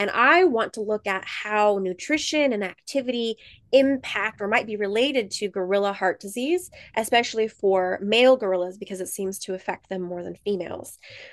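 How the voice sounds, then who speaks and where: Speaking in an unremarkable speaking voice with an American accent, a woman keeps a medium pitch, ordinary pitch variation and a moderate pace, with big swings in loudness against a quiet background. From rural South Dakota and Montana, US. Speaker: gorilla researcher. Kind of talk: interview for kids, science explanations.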